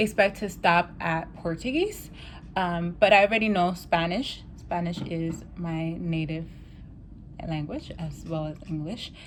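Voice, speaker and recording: An American accent at a fairly slow pace, with ordinary pitch variation and audible room echo. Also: woman. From New York City. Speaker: language learning vlogger. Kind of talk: casual vlog talk. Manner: casual, many filler ums.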